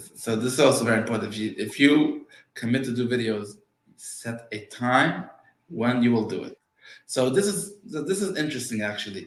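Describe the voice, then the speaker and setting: With a non-native accent, a man at medium pitch speaks with lively intonation and big swings in loudness, in a room with audible echo. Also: moderate pace. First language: Yiddish. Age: 40s. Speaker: real estate agent. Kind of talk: interview. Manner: halting, repetitive starts.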